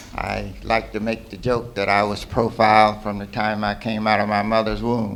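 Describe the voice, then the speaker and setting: A man with an American accent, fairly low in pitch, in a monotone with flat intonation, at a moderate pace with hardly any pauses, amid audible room echo. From US South, Georgia. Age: 80s+. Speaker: retired professor, panelist. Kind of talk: panel self-introduction.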